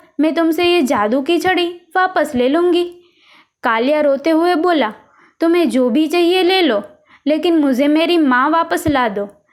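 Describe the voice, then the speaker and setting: High-pitched female speech with ordinary pitch variation. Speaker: voice over artist. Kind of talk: children's moral story narration. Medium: read story.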